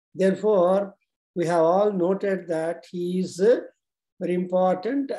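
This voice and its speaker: A man's high voice with a dark, mellow tone over a quiet background. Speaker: religious teacher. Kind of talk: sermon. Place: home room. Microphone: video call.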